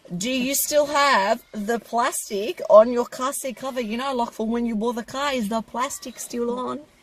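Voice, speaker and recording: A woman's high voice at a moderate pace with hardly any pauses and ordinary pitch variation, over noticeable background noise. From Australia. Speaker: car maintenance teacher and channel co-host. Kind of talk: casual Q&A chat.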